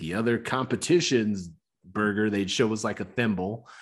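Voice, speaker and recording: Medium in pitch, a man's normal speaking voice moves at a moderate pace with ordinary pitch variation. The background is silent on this very clean recording. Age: 40s. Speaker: podcast host. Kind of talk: casual chat.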